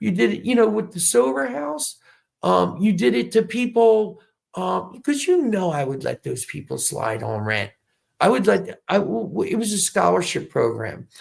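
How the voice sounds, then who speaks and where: A very clean recording with a silent background captures a man's voice. He talks at a moderate pace in an American accent. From New York City (South Bronx). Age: 50s. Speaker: Navy veteran and businessman running for mayor. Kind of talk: interview.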